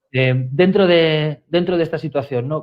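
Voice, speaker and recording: A man with a Spanish accent talks at a moderate pace in a fairly high pitch. His pitch varies in an ordinary way. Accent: Spanish (Spain). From Spain. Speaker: communications director, webinar co-host. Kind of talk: webinar conversation. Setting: live online webinar, remote.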